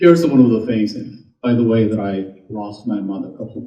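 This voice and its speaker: Somewhat breathy speech at a moderate pace, with audible room echo. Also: man. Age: 60s. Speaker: company founder presenting products. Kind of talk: presentation talk.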